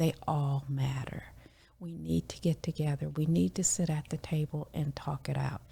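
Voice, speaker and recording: Very deep and low, this woman's voice has a dark, mellow tone, a somewhat breathy quality, ordinary pitch variation and a moderate pace. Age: 60s. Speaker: community member sharing oral history. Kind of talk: interview.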